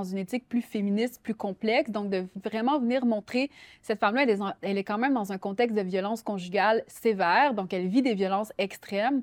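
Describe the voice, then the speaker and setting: A woman at a very fast pace, ordinary pitch variation, dry and close sound with no echo. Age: 30s. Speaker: writer. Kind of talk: interview.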